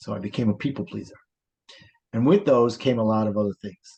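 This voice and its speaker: Speech comes at a fairly quick pace with fairly even intonation. The speaker has a New York accent. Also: man. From New York, Brooklyn. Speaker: life coach. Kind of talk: interview.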